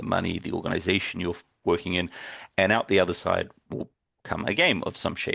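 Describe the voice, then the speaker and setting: Someone talks at a fairly quick pace with a New Zealand accent. Behind the voice, the background stays quiet. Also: man. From New Zealand (Timaru). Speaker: games user researcher, workshop presenter. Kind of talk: workshop lecture.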